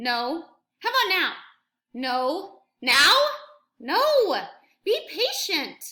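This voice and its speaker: In a put-on character voice, a woman speaks at an extremely high pitch with very wide pitch swings, moving at a very slow pace with long, frequent pauses. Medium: read story. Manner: calm, matter-of-fact.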